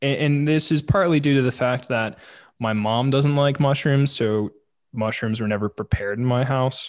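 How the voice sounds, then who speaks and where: A man talks at a moderate pace in an unremarkable speaking voice. His pitch is medium with ordinary variation, and the background is quiet. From St. Louis, Missouri. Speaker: podcast host. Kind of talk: casual chat.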